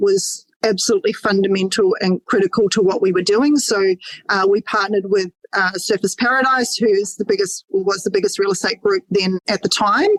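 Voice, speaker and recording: Recorded dry and close with no echo, a woman talks at a moderate pace, her intonation fairly even and her loudness very even. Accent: Australian. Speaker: mortgage broker. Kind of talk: podcast interview.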